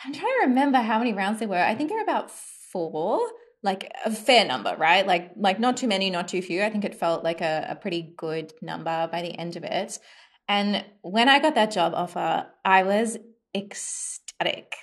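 A woman speaks with an Australian accent at a medium pitch. Her pace is moderate. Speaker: design and UX research consultant. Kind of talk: interview.

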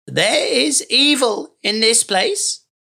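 The female-sounding voice is a put-on character voice, croaky and high-pitched. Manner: ominous warning.

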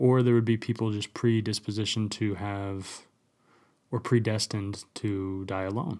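A plain, everyday voice with fairly even intonation, on a very clean recording with a silent background. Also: man, fairly low pitch for a man, moderate pace. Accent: American. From US West, rural central Utah. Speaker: podcast host. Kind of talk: casual solo monologue. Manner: casual, filler-heavy.

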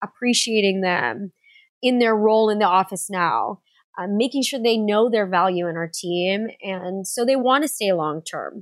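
A woman with an American accent at medium pitch, ordinary pitch variation and moderate pace, in a very clean recording with a silent background and a dry, close sound with no echo. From San Diego, California. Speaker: dentist and practice owner. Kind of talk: interview.

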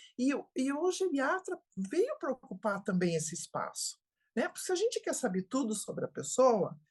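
Somewhat breathy, a woman talks at a fairly slow pace with very wide pitch swings. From Brazil, interior of Santa Catarina. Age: 70s. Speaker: geriatrician. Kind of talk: interview.

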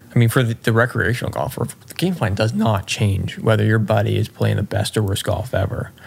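Over noticeable background noise, a man with a fairly low pitch talks at a fairly quick pace with hardly any pauses. His loudness is very even, and his pitch variation is ordinary. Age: 30s. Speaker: golf coach. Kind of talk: casual chat.

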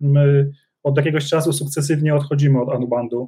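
A man with a fairly high pitch speaks at a moderate pace in a dark, mellow, somewhat breathy tone. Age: 40s. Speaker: business executive. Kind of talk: interview.

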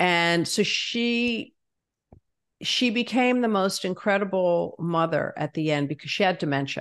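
Here a woman with an American accent talks at a medium pitch and a fairly slow pace. Her intonation is lively, and the background is quiet. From New Jersey. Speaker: business consultant and activist. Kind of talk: interview.

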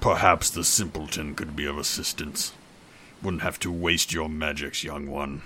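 A man speaks at a very deep, low pitch and a moderate pace. Clear background noise is present. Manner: solemn, archaic, menacing.

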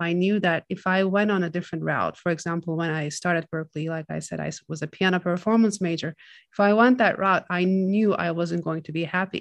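In a Turkish accent, a woman with a fairly low pitch talks at a fairly quick pace with fairly even intonation and hardly any pauses over a quiet background. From Turkey (Istanbul). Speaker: film composer. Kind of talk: interview. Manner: halting.

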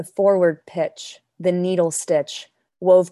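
A woman with an American accent speaks at a fairly low pitch in a dark, mellow tone. Her intonation is monotone and flat, her pace moderate, and the background quiet. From Denmark, now New York. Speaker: poet and actor. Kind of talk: poetry reading and casual interview.

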